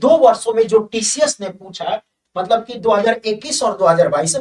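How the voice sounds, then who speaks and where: The speaker is a man. His pitch is high. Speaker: exam coaching teacher. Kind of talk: promotional announcement to students. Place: studio.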